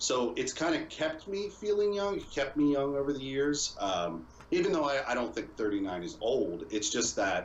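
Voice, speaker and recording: In a room with audible echo, a man speaks at a moderate pace with hardly any pauses, his fairly high pitch swinging very widely. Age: 30s. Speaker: video game streamer. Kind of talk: casual podcast interview chat.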